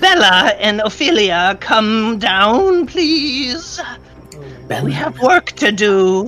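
A put-on, cackling character voice sits fairly high and swings very widely in pitch. It moves at a very slow pace over clear background noise.

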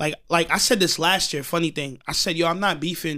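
A man talks at a fairly quick pace with a high pitch and a bright, sharp tone. The recording is very clean, with a silent background. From Long Island, New York (Elmont). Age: 20s. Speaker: rapper. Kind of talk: casual chat. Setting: studio.

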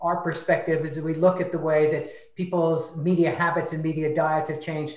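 There is noticeable background noise in this clip. A man speaks at a moderate pace with a high pitch. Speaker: internet research director. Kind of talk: panel discussion/interview.

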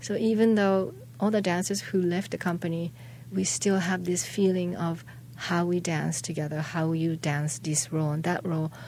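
A woman with a Japanese accent speaks at a moderate pace in a fairly low, somewhat breathy voice, her tone dark and mellow and her pitch varying in an ordinary way. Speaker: dancer and choreographer. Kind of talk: interview. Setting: studio. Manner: halting.

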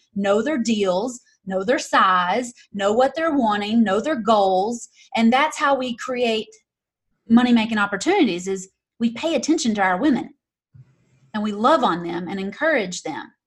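A woman speaks in a high pitch with a Southern US accent. She keeps a moderate pace and lively intonation. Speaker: real estate investor and YouTube creator. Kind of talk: interview.

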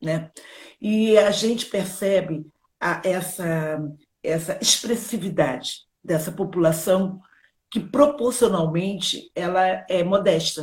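A woman speaks at a medium pitch with ordinary pitch variation and a somewhat breathy quality. Her pace is very slow, broken by long, frequent pauses. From Brazil, Rio de Janeiro. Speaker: children's author and educator. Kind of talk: live interview.

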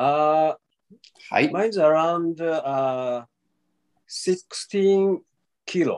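A man with a Japanese accent speaks very slowly in a high voice with ordinary pitch variation, leaving long, frequent pauses. The sound is dry and close, with no echo. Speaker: traditional Japanese archery practitioner. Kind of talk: interview answers. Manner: halting.

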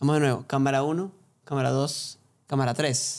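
A plain, everyday voice from a man with a fairly high pitch, at a moderate pace, in a very clean recording with a silent background. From Venezuela, Barquisimeto. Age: 20s. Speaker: podcast co-host, singer-songwriter. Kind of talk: casual chat.

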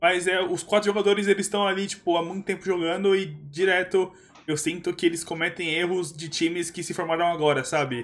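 Here is a man with a high pitch. He talks at a fairly quick pace with fairly even intonation. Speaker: esports podcast co-host. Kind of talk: casual chat. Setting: live stream.

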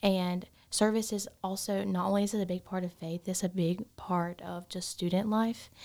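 A woman with a Southern US accent speaks in a monotone, flat intonation with hardly any pauses. The recording is very clean, with a silent background. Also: medium pitch for a woman, moderate pace. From South Carolina. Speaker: biomedical science student. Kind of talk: casual interview.

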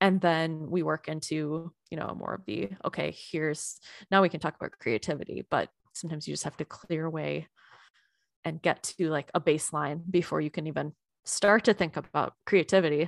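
A very deep, low-pitched woman's voice with an American accent and vocal fry, at a moderate pace with ordinary pitch variation, dry and close with no echo. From United States. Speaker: creativity coach and podcaster. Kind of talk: casual interview chat.

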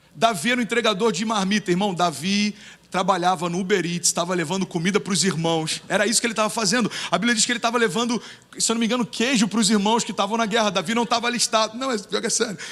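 A man with a high pitch talks at a very fast pace in an animated tone, his pitch varying in an ordinary way. Noticeable background noise can be heard. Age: 30s. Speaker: pastor. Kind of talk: sermon.

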